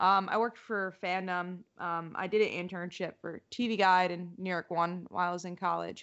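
A woman speaks at medium pitch with monotone, flat intonation. She leaves hardly any pauses. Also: moderate pace. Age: 20s. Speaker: comics writer and journalist. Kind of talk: casual interview chat.

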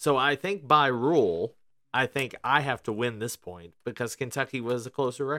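The recording is dry and close, with no echo. A man talks at a moderate pace and medium pitch, with ordinary pitch variation. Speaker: podcast host. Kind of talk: casual chat. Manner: chatty, humorous.

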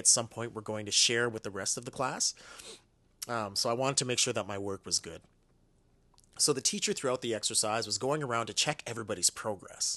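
At a fairly quick pace, a man with a Canadian accent speaks at medium pitch with fairly even intonation and a bright, sharp tone. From Canada, Ottawa. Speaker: podcast host. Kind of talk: personal monologue.

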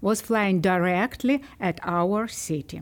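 A woman with a Ukrainian accent at a fairly slow pace. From Ukraine. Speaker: librarian. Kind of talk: podcast interview. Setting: studio.

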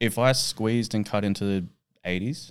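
With an Australian accent, a man speaks at a fairly low pitch in a very clean recording with a silent background. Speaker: strongman athlete and coach. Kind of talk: casual chat. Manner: dry humour.

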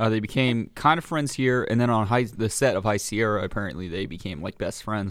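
A man speaks with an American accent at a fairly low pitch, with ordinary pitch variation, in a very clean recording with a silent background. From San Francisco Bay Area. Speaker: movie podcast co-host. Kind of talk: casual chat.

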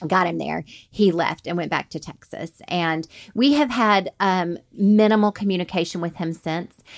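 A woman in an Alabama accent speaks with ordinary pitch variation on a very clean recording with a silent background. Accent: Southern US (Alabama). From US South, Alabama (Montgomery). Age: 40s. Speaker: military wife and adoptive mother. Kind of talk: interview.

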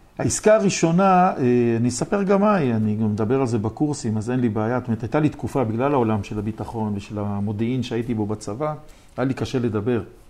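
This man talks at a very fast pace with lively intonation. His pitch sits in the medium range. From Israel, Jerusalem. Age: 60s. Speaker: real estate developer and lecturer. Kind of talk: interview.

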